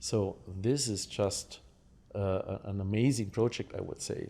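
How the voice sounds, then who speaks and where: With a German accent, a man speaks at a fairly low pitch in a dark, mellow tone with fairly even intonation on a very clean recording with a silent background. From Germany. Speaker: lottery game designer. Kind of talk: podcast interview. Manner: halting, many fillers.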